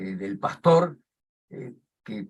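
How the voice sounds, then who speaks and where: A man's voice with vocal fry and very wide pitch swings, at a very slow pace. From Argentina. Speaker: journalist, program host. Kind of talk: panel interview. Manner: halting.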